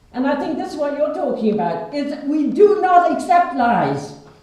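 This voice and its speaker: Lively intonation from a woman at a high pitch, noticeable background noise behind her. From Ireland. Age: 80s+. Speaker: peace activist, playwright. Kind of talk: public speech at a meeting.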